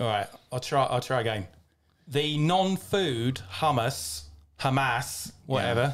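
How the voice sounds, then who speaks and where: With a British accent, a man speaks at a very slow pace and medium pitch, his intonation lively, his loudness very even and his voice showing vocal fry. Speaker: podcast co-host. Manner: casual, joking.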